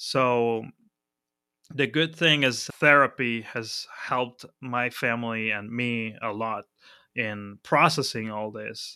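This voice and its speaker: This man speaks very slowly with a Spanish accent, his tone bright and sharp. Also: medium pitch for a man, fairly even intonation, very clean recording, silent background. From Argentina, Buenos Aires. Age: 30s. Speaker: software agency founder. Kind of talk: casual interview.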